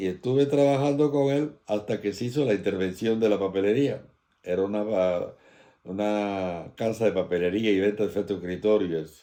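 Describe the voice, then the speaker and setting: A man with a dark, mellow tone talks at a fairly quick pace with ordinary pitch variation, in a very clean recording with a silent background. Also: fairly low pitch for a man. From Galicia, Spain (As Pontes), then Cuba from age 12. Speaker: emigrant recounting life story. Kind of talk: oral history interview.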